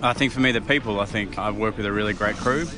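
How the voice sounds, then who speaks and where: Talking at a very fast pace over noticeable background noise, a man uses a fairly low pitch and fairly even intonation. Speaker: army officer. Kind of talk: casual interview.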